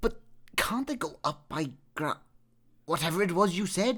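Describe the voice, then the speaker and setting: Middle-pitched, put-on character voice. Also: moderate pace. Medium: read story. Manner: petulant.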